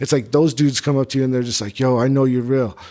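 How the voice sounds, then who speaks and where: A man's medium-pitched voice with a dark, mellow tone, fairly even intonation and a fairly quick pace. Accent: New Mexico. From Albuquerque, New Mexico. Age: 30s. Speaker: rapper. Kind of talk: casual chat.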